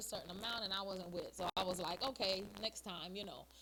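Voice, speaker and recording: Noticeable background noise accompanies a woman who speaks very rapidly. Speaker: soca singer, army veteran. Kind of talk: interview.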